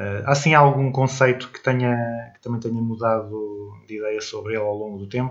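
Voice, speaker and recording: A man with an ordinary speaking voice talks at a medium pitch and moderate pace with hardly any pauses, fairly even intonation and big swings in loudness. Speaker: radio podcast host. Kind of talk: interview.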